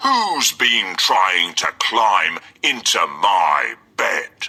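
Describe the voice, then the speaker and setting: A man performs a put-on character voice with a growl. He speaks at a very slow pace. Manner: roaring, angry.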